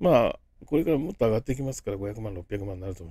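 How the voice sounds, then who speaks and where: Here a man speaks with a dark, mellow tone in a fairly low pitch. The recording is very clean, with a silent background. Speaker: business consultant and crypto YouTuber. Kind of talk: casual vlog-style talk to camera. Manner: chatty, rambling with many fillers.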